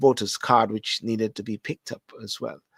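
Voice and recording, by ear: A man speaks with vocal fry and a slightly husky edge. The sound is dry and close, with no echo.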